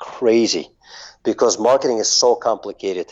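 At a moderate pace, a man of medium pitch talks in a Russian accent. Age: 40s. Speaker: marketing agency owner. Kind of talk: interview.

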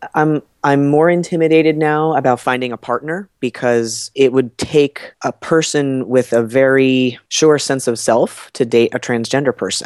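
In an American accent, a man talks at a fairly slow pace in a normal speaking voice, medium in pitch with ordinary pitch variation. The sound is dry and close, with no echo. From New Jersey. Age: 30s. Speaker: health coach. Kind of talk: casual interview.

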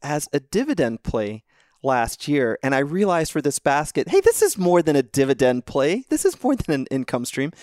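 In a very clean recording with a silent background, a man with a fairly high pitch uses a normal speaking voice at a moderate pace, the sound dry and close with no echo. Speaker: financial analyst guest. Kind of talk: casual chat about stocks.

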